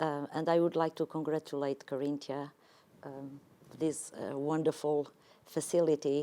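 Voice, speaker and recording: A woman speaks in a Portuguese accent at a very deep, low pitch. Her dark, mellow tone stays monotone and flat at a fairly slow pace. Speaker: tourism executive. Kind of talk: panel discussion. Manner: halting.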